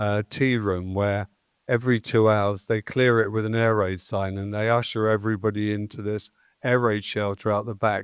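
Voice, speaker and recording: In an English accent, a man speaks at a moderate pace with a fairly low pitch. His intonation is monotone and flat, and the sound is dry and close with no echo. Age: 70s. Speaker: festival promoter. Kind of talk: interview. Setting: stage with audience.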